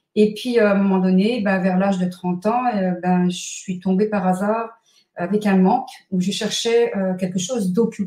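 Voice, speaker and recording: A woman at a fairly slow pace, somewhat breathy, with medium pitch and ordinary pitch variation. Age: 60s. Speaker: numerologist and author. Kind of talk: interview.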